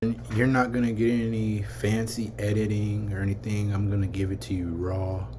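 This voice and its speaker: A man with an American accent sounds somewhat breathy, speaking at a moderate pace with fairly even intonation. Audible room echo is present. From California, Vallejo. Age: 30s. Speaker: vlogger. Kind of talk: casual vlog rant.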